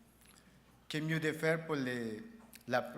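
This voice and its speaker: A man speaks in a monotone with flat intonation. Audible room echo surrounds his voice. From El Salvador. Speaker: award recipient, union president. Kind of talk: acceptance speech. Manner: halting, with false starts.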